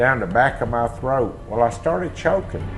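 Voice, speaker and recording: With a Mississippi accent, a man talks at a fairly slow pace and ordinary pitch variation, in audible room echo. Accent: Mississippi Southern. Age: 60s. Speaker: eyewitness. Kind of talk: testimony.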